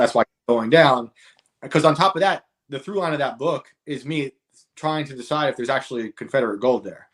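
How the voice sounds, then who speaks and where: A man with a New York accent talks at a fairly quick pace with ordinary pitch variation. His loudness swings widely, and the sound is dry and close with no echo. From New York state, rural upstate. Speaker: author and comedian. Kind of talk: casual chat.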